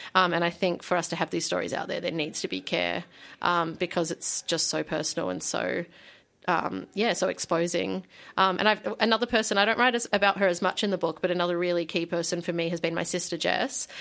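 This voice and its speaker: Vocal fry runs through this fairly quick delivery in an Australian accent, with fairly even intonation. The recording is very clean, with a silent background. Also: woman, fairly low pitch for a woman. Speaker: magazine editor and memoir author. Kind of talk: radio interview. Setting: radio studio. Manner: frequent laughter and fillers.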